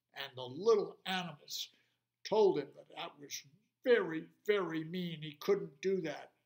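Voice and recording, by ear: Against a quiet background, the text is read aloud in a natural voice.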